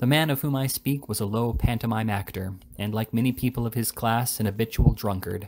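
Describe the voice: The reading aloud is plain, and its pitch moves in an ordinary way.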